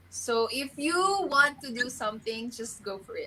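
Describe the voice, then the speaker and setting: This woman talks at a moderate pace with a Filipino accent. Her tone is bright and sharp. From Philippines, Palawan. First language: Filipino language. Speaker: beauty pageant contestant. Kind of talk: interview.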